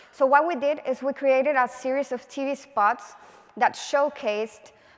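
The speaker talks at a fairly slow pace with a Spanish accent. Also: woman. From Venezuela. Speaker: political advertising creative; conference speaker. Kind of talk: conference talk. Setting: stage with audience. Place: stage. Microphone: headset.

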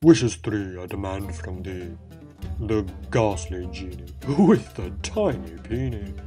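Over clear background music, a man uses a put-on character voice with a very deep, low pitch at a fairly slow pace. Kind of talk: comic overacting. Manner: sing-song rhyming, pompous decrees.

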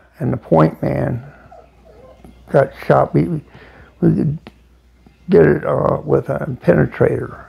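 At a very slow pace, a man with an American accent makes very wide pitch swings against a quiet background. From United States. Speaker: Vietnam war veteran. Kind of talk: interview answer. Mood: reflective, somber war memories. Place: home room. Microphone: lapel.

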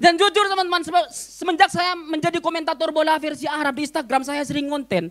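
A man speaks at an extremely high pitch and a fairly quick pace. His tone is animated. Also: quiet background. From Madura, Indonesia. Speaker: stand-up comedian. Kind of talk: stand-up comedy. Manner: animated, punchy delivery with crowd-baiting pauses; switches into fast mock-Arabic gibberish. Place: cafe. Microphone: handheld.

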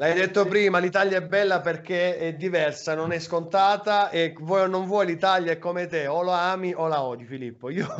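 A man talks in a high voice with fairly even intonation. His pace is moderate, with hardly any pauses, over a quiet background. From Apulia, Salento (San Michele Salentino); Apulia. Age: 30s. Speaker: web radio host. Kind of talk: casual chat. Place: home room. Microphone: video call.

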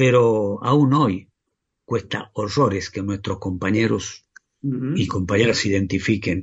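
A man's somewhat breathy, fairly low-pitched voice, at a fairly slow pace with ordinary pitch variation. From Argentina, La Rioja. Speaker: union leader and teacher. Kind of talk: interview.

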